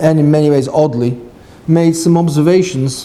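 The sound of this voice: Audible room echo surrounds a man with a southern English accent, whose fairly high pitch shows ordinary variation in a dark, mellow tone at a moderate pace. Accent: British, educated southern English.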